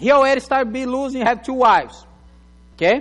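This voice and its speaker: A man with a non-native accent speaks at an extremely high pitch. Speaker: pastor. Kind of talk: sermon. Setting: church.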